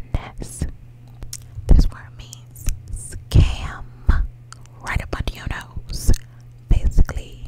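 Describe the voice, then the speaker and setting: Whispering in a playful tone, a woman is heard over noticeable background noise. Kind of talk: ASMR whisper video. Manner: whispered, playful.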